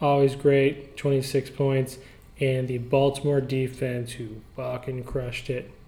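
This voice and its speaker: Over noticeable background noise, a man speaks at a medium pitch. He talks at a very slow pace in a flat monotone. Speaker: fantasy football podcast host. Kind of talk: casual banter, recap podcast. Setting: office.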